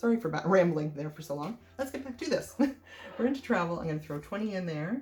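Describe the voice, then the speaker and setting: Over music in the background, a woman with an Ontario accent talks very fast, her fairly low pitch making very wide swings. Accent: Canadian English (Ontario). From Canada, Sarnia, Ontario. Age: 40s. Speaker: budgeting vlogger. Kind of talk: casual vlog tutorial. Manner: hesitant, many fillers.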